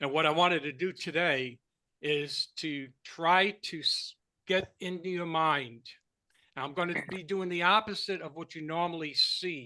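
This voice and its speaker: A man with a high pitch and a bright, sharp tone speaks at a fairly slow pace over a quiet background. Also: ordinary pitch variation. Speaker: online marketing trainer. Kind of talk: training call.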